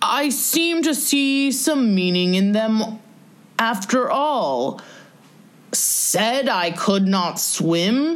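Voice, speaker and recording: A woman's put-on character voice, fairly high-pitched and very slow, with very wide pitch swings. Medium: read story. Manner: grave, self-important.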